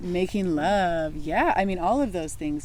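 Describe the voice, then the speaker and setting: Amid audible room echo, a woman with a fairly low pitch and a dark, mellow tone talks at a fairly slow pace. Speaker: wellness and spirituality podcast co-host. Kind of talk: casual conversation. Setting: outdoors in the sun. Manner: halting, searching for words.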